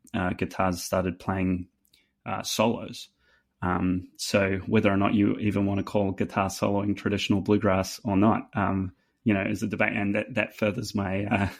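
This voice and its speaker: On a very clean recording with a silent background, a man speaks in a New Zealand accent. His fairly low voice is monotone and flat at a moderate pace. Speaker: fiddle player. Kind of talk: casual chat. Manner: halting, many fillers.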